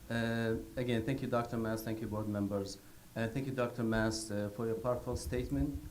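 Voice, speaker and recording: This man has a non-native accent and a medium pitch, speaking at a moderate pace. Music plays in the background, and there is audible room echo. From Iraq. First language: not English. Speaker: public commenter at school board meeting. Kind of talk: public comment. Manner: halting.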